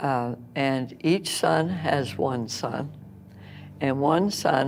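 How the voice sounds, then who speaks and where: With music in the background, a woman talks at a very deep, low pitch with ordinary pitch variation. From New Brunswick, Canada. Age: 80s+. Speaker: retired home economics teacher. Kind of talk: interview. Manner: halting, many fillers.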